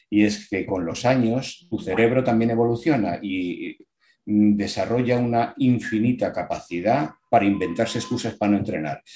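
With a dark, mellow tone, a man speaks at medium pitch and a moderate pace, using ordinary pitch variation. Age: 60s. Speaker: amateur triathlete. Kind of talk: casual interview.

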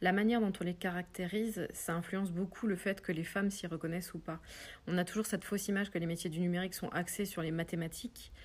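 A woman with a medium pitch and a somewhat breathy voice talks at a very fast pace with fairly even intonation, recorded very cleanly over a silent background. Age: 40s. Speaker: web development trainer. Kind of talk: interview. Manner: hesitant, many fillers.

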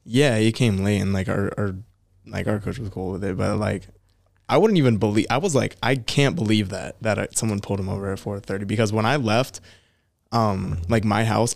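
Over a silent background in a very clean recording, a man with a normal speaking voice and fairly low pitch talks at a moderate pace. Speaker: podcast co-host. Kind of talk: casual chat.

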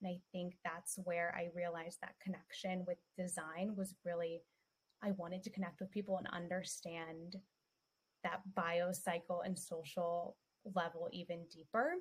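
A woman speaks at a fairly low pitch, somewhat breathy. Her intonation stays flat and monotone. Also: moderate pace. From Colombia. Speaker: personal branding agency founder, former therapist. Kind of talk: interview.

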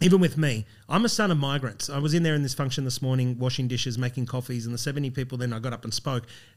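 With hardly any pauses, a man with an Australian accent talks at a very fast pace in a medium pitch. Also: ordinary pitch variation. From Brisbane, Australia. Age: 40s. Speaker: coffee business founder. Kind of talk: interview storytelling.

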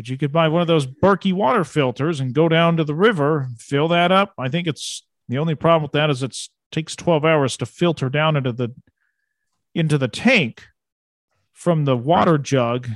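A man's normal speaking voice, fairly high in pitch with ordinary pitch variation, at a moderate pace, with a dry, close sound with no echo and a quiet background. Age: 40s. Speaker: podcast host. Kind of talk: interview.

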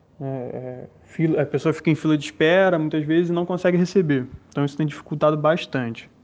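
A man at a fairly high pitch and fairly quick pace, fairly even intonation and hardly any pauses. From São Gonçalo, Rio de Janeiro state, Brazil. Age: 20s. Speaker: science teacher. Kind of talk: first-person account. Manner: hesitant, many fillers.

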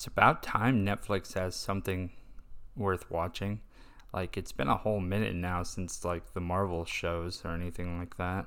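A man with a Texan accent, a very deep, low pitch, fairly even intonation and a moderate pace. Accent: Texan American. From Texas. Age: 20s. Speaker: podcast host. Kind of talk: casual monologue.

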